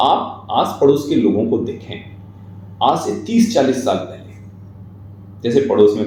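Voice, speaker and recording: The speaker's pitch varies an ordinary amount. Noticeable background noise and audible room echo come through. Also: man. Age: 40s. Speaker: writer and guest speaker. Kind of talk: interview, reflective talk. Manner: formal.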